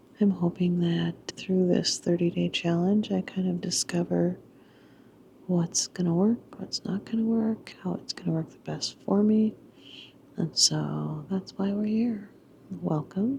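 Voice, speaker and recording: A woman whispers at a fairly slow pace. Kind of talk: whispered personal vlog talk to camera. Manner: whispered.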